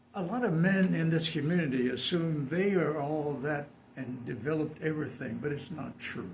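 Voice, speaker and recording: Here a man with an American accent speaks at a moderate pace, his pitch fairly high with ordinary variation. Room echo is audible and background noise is noticeable. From San Diego, California. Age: 90s. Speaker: community elder. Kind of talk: interview.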